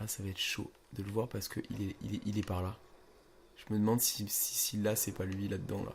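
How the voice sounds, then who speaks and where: A man talks quietly at a fairly quick pace and fairly low pitch. His intonation is monotone and flat, with noticeable background noise. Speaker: gaming youtuber. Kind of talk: gameplay commentary. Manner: casual, hesitant with fillers; speaking quietly.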